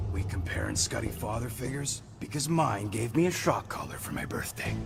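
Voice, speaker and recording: A man's cartoonish character voice at medium pitch and a fairly quick pace, with clear music in the background. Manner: sarcastic, brash.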